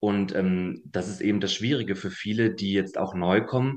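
A man's fairly low voice at a moderate pace, fairly even in intonation, over a quiet background. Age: 20s. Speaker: long COVID patient. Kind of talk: interview. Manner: halting.

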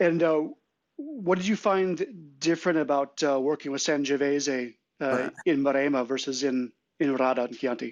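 A man's fairly high voice, an ordinary speaking voice with an American accent, fairly slow pace and ordinary pitch variation. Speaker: wine importer. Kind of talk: casual chat. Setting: online audio chat room.

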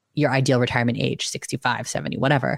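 A woman's animated tone in a very clean recording with a silent background. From US, Filipino immigrant family. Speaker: financial educator and content creator. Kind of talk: casual interview chat.

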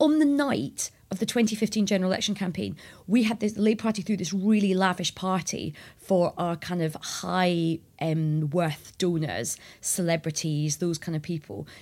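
Lively intonation from a woman with a Scottish accent at medium pitch and moderate pace, on a very clean recording with a silent background. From Scotland. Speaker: journalist and former political advisor. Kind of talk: interview.

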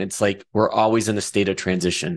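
Against a quiet background, a man with a Midwestern accent talks at a moderate pace with ordinary pitch variation. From rural Michigan. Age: 40s. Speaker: podcast host and financial planner. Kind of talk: podcast interview. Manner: halting, many repetitions.

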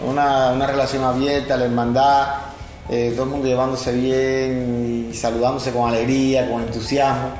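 Over noticeable background noise and audible room echo, a man at medium pitch speaks at a moderate pace in a monotone, flat intonation with very even loudness. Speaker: churchgoer, former mechanical engineer. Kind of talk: testimony. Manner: halting, with repetitions.

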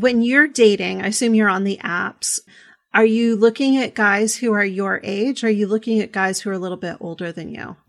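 A woman speaks in an unremarkable speaking voice, fairly high-pitched, at a moderate pace with ordinary pitch variation. Her loudness swings widely against a quiet background. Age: 40s. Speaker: podcast host, sex educator. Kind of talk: casual interview chat.

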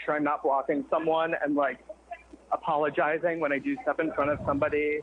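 Noticeable background noise sits behind a woman with a very deep, low pitch. She talks at a moderate pace with ordinary pitch variation. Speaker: caller. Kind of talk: casual chat. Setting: phone call.

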